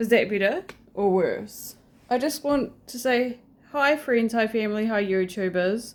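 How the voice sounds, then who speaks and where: A woman in a New Zealand accent, fairly high-pitched and fairly slow, with ordinary pitch variation on a very clean recording with a silent background. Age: 30s. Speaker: vlogger. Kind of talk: casual vlog monologue. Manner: quiet; hesitant, many fillers.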